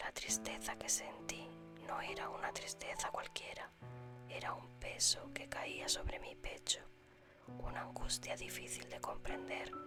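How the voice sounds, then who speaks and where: The speaker whispers in a calm tone at a fairly slow pace. Music plays in the background. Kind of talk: whispered ASMR story reading for sleep. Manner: whispered, soft, calm.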